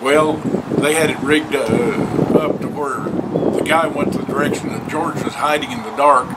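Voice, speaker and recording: A man with a fairly high voice speaks at a moderate pace with fairly even intonation over noticeable background noise. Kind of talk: storytelling, folksy tall tale told to camera.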